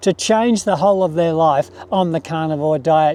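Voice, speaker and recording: In an Australian accent, a voice with a dark, mellow tone moves at a moderate pace. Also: man. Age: 60s. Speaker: retired pensioner, carnivore diet YouTuber. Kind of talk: casual talk to camera.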